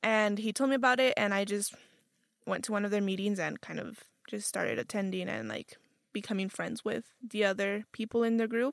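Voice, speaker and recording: In a normal speaking voice, a woman talks at a fairly quick pace in a medium pitch with fairly even intonation, the sound dry and close with no echo. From Utah, US (born in Guadalajara, Mexico). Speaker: college student organizer. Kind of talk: casual interview.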